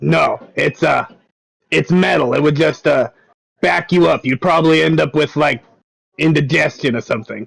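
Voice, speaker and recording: Putting on a raspy character voice, a man speaks at a fairly high pitch and moderate pace, with long, frequent pauses. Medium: actual play. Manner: warm, easygoing.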